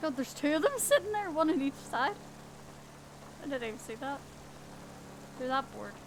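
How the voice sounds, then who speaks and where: With a Northern Irish accent, a woman speaks high and fast with lively intonation, big swings in loudness and long, frequent pauses, over noticeable background noise. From Northern Ireland. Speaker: game streamer. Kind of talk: casual live-stream commentary while gaming.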